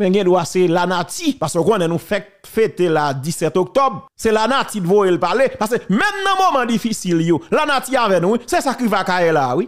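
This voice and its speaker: An animated man at a moderate pace, his pitch swinging very widely. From Haiti. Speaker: political commentator. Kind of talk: heated commentary. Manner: emphatic.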